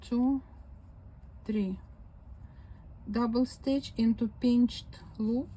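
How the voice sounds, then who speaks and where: With a Ukrainian accent, a woman speaks at a very slow pace with long, frequent pauses, a fairly high pitch, a dark, mellow tone and fairly even intonation. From Ukraine. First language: Ukrainian or Russian. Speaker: crochet video maker. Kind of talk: crafting demonstration. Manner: slow counting aloud.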